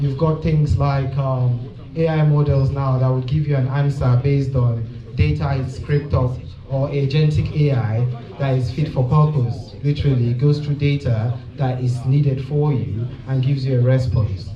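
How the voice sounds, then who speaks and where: Noticeable background noise and audible room echo surround a man with a medium pitch. He keeps a moderate pace, fairly even intonation and very even loudness. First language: native language other than English. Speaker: tech speaker. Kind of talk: conference presentation.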